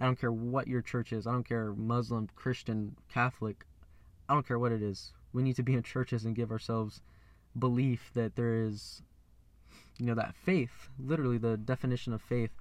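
A plain, everyday voice with fairly even intonation over a quiet background. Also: man, medium pitch for a man, moderate pace. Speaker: podcaster. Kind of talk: angry car rant, preachy warning about chaos and elites. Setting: in a car, recording alone. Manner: angry, ranting, worked up and accusatory; blunt, swearing.

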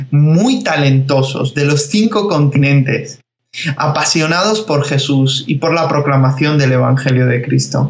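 The voice moves at a fairly slow pace with ordinary pitch variation, and audible room echo surrounds it. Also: man. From Spain (from age 11), born in Georgia. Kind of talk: interview.

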